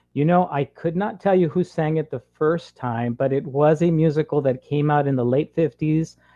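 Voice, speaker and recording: In a normal speaking voice, a man with an American accent talks at a moderate pace with hardly any pauses, his pitch fairly high with ordinary variation. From US Southwest, Imperial Valley border town, California. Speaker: elementary school teacher and singer. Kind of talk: interview.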